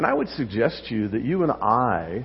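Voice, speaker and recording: Against noticeable background noise, a man talks at a moderate pace with lively intonation. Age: 70s. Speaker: pastor. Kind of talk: sermon. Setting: church.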